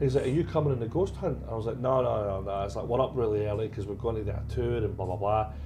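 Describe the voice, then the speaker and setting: A man with a Scottish accent, fairly low in pitch, very fast and hardly pausing, lively in intonation, with audible room echo and music in the background. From Scotland, Glasgow. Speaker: paranormal investigator. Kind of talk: casual chat.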